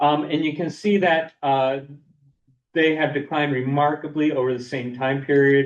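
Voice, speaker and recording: A man's fairly high-pitched voice at a moderate pace with fairly even intonation. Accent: American. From Boston area, US. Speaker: lake scientist presenter. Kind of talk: lecture. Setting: seminar room, also streamed online. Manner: halting, many fillers and repeats.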